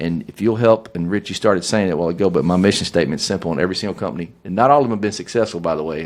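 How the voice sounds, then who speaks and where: Very fast in pace, a man with a Southern US accent speaks at a fairly low pitch. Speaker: business owner and leadership guest. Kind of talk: podcast conversation. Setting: studio. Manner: animated.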